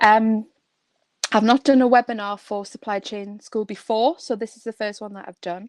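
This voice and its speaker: Delivered with a northeast England accent, the voice has fairly even intonation and big swings in loudness, in a dry, close sound with no echo. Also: woman, fairly high pitch for a woman, moderate pace. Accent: northeast England, kept. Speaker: construction trainer and coach. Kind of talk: webinar presentation. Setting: online webinar. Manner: hesitant with fillers.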